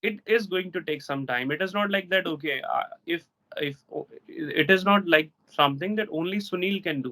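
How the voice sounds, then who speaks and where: The man's tone is bright and sharp, with high pitch and ordinary variation. He keeps a moderate pace. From India, Delhi. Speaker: English teacher. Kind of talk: casual interview chat. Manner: soft-spoken.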